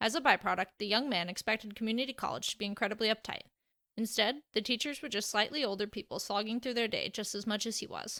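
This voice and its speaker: Very fast and fairly high, a woman's bright, sharp voice holds fairly even intonation in a dry, close, very clean recording with a silent background and no echo. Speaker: fanfiction author and audiobook narrator. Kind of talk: reading aloud. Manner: soothing, sleep-inducing.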